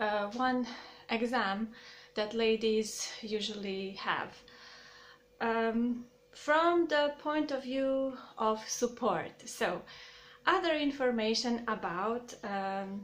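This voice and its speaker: A woman speaks very slowly with a Croatian accent. Her pitch is fairly high. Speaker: YouTuber. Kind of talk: casual vlog talk to camera. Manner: halting, many fillers.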